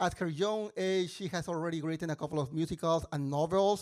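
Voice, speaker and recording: Moderately paced male speech in a very clean recording with a silent background. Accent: strong Mexican. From Mexico. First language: Spanish. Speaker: musical theatre composer and mentor. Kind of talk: stage introduction. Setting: stage with audience. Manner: halting.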